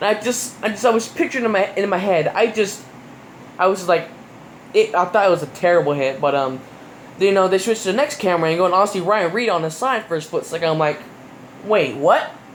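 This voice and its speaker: The speaker talks at a very fast pace in an animated tone, with noticeable background noise. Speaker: YouTuber reviewing NASCAR races. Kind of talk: casual commentary review. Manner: animated, many fillers.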